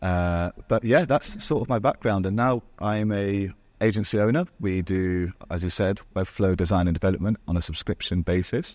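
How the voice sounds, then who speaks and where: This man speaks with an English accent at a moderate pace. His pitch varies in an ordinary way, and there are hardly any pauses. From Spain. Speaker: marketing agency owner. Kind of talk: podcast interview. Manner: articulate.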